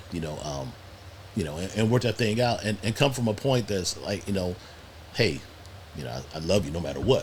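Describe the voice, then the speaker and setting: A man talks at a fairly quick pace with lively intonation and a fairly low pitch. Noticeable background noise runs throughout. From US Midwest, Cleveland, Ohio. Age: 60s. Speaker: podcast guest. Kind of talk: casual chat. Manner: halting, frequent repetitions.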